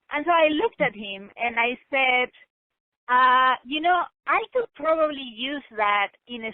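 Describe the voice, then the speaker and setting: The intonation is lively, with a non-native accent. The pace is fairly slow. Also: woman. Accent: foreign. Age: 40s. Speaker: author. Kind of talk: interview conversation. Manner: emphatic.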